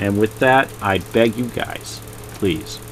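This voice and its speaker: A man at a fairly low pitch and fairly slow pace, with music in the background. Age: 60s. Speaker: YouTuber and art collector. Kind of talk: casual video monologue. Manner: rambling, repetitive.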